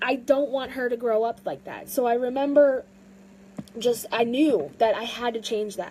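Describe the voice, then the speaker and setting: A woman with an American accent speaks at a moderate pace in a high pitch and a dark, mellow tone, with ordinary pitch variation and big swings in loudness. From US South. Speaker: fitness vlogger. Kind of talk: personal vlog monologue. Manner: halting, many fillers.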